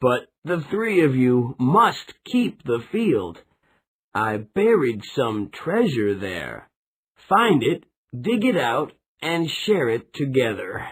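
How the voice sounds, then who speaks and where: Using a put-on character voice, a man talks at a very slow pace with fairly high pitch and very wide pitch swings. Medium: read story.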